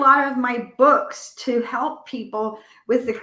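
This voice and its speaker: A woman with a high pitch projects her raised voice at a very slow pace, her tone bright and sharp and her intonation fairly even. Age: 60s. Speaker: medical intuitive healer and author. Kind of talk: interview.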